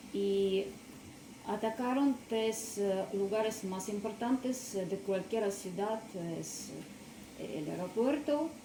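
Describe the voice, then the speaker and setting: A woman with a non-native accent speaks at a very slow pace with long, frequent pauses, using a fairly high pitch and ordinary pitch variation, amid noticeable background noise and audible room echo. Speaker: witness. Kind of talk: testimony. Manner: soft-spoken; halting.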